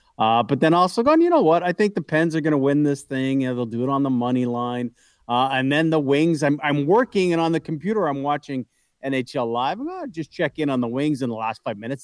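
A man talks fairly quickly in an ordinary speaking voice, fairly high in pitch with ordinary pitch variation. The recording is very clean and dry, close with no echo, over a silent background. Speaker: radio co-host. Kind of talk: casual sports talk banter. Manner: opinionated, conversational.

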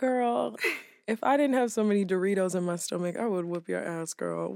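A woman talks at a moderate pace with an unremarkable speaking voice. Her intonation is lively. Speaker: podcast co-host. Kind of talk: casual chat.

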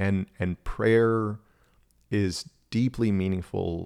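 On a very clean recording with a silent background, a man with an American accent uses a normal speaking voice, fairly low in pitch, with fairly even intonation. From Texas. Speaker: spiritual director. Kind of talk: casual chat.

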